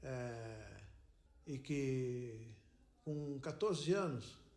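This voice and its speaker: Audible room echo surrounds a man whose fairly high voice has ordinary pitch variation. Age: 70s. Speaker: retired airline worker. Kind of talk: interview testimony.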